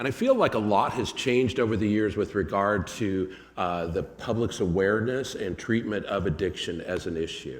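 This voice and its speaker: Using a normal speaking voice, a man talks at a fairly low pitch and moderate pace with ordinary pitch variation and hardly any pauses. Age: 60s. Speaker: addiction counselor. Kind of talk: presentation.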